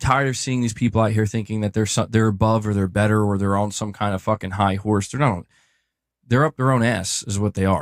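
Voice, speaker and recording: A man's fairly low voice at a fairly quick pace, with fairly even intonation, in a very clean recording with a silent background and a dry, close sound with no echo. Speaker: stream guest. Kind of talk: casual chat. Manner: monotone. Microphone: good audio.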